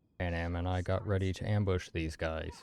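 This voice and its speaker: Over music in the background, a man talks at a moderate pace in a very deep, low pitch. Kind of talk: deadpan gameplay commentary narration. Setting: home studio mic. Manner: flat, little emotion.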